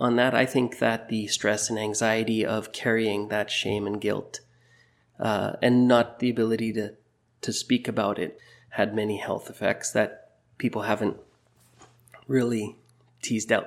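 With a western Canadian accent, a man talks at a moderate pace and medium pitch. His intonation is monotone and flat, and his pauses are long and frequent. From Burnaby, British Columbia, Canada. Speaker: teacher. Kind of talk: interview.

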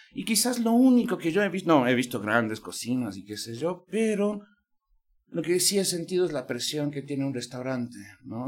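With lively intonation and a moderate pace, a man speaks in a plain, everyday voice. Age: 50s. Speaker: podcast host. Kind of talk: interview conversation. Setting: university venue.

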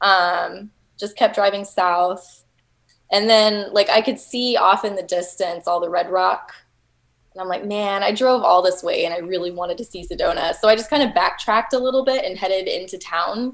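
Pitch shifts in an ordinary way. The delivery keeps a moderate speed. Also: woman, medium pitch for a woman. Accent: Texan. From Texas. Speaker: overlanding enthusiast. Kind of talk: casual chat.

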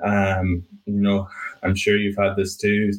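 A man speaks with an Irish accent. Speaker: painting business owner. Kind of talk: interview.

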